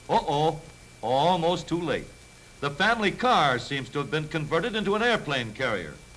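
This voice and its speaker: A man with a fairly high pitch speaks at a moderate pace, his intonation lively. Noticeable background noise sits behind his voice. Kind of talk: newsreel narration. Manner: wry, jaunty.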